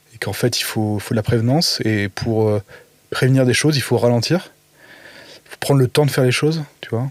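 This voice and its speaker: Recorded dry and close with no echo but with noticeable background noise, a man of medium pitch talks at a fairly quick pace with ordinary pitch variation and long, frequent pauses. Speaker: podcast guest, creative in media and cooking. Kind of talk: casual interview chat. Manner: mumbling, halting with many fillers.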